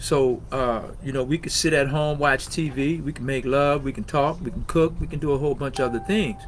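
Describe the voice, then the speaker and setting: Amid noticeable background noise, the speech runs at a fairly quick pace with hardly any pauses and fairly even intonation. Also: man, fairly high pitch for a man. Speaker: podcast host. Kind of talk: personal testimony on podcast. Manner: loud; conversational with many fillers.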